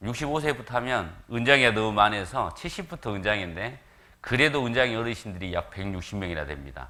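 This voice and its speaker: Over audible room echo, a man with a medium pitch and a bright, sharp tone talks fairly quickly, with vocal fry and very wide pitch swings. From South Korea, Jeolla region (Gwangju). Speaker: visiting evangelist preacher. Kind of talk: sermon.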